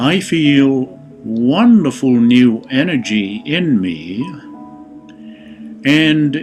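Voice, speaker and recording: Music plays in the background as a man with a soothing tone and a medium pitch talks very slowly, his pitch swinging very widely between long, frequent pauses. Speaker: meditation guide. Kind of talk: guided meditation. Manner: slow, soothing.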